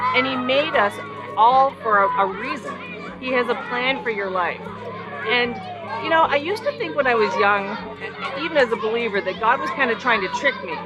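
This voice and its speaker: Loud and high-pitched, a woman speaks with long, frequent pauses amid crowd noise in the background and audible room echo. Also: ordinary pitch variation, moderate pace. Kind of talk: teaching talk. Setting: outdoors.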